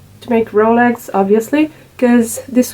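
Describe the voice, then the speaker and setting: Over noticeable background noise, a woman with a fairly high pitch speaks at a very slow pace in a monotone, flat intonation. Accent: non-native. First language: not English. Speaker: crafts video maker. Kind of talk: tutorial. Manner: halting, many fillers.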